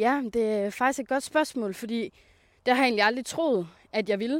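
A woman speaks fairly slowly, her pitch varying in an ordinary way, on a very clean recording with a silent background. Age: 20s. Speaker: self-employed coach. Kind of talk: casual interview. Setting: outdoors on a walk.

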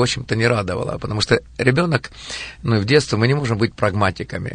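Against noticeable background noise, a man talks at a fairly quick pace, medium in pitch with ordinary pitch variation. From Ukraine, Kirovohrad. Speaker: evangelist and missionary. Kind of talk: studio interview. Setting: radio studio.

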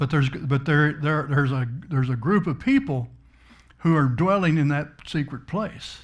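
A somewhat breathy man's voice, fairly high in pitch. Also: ordinary pitch variation, moderate pace. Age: 70s. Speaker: pastor. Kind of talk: sermon.

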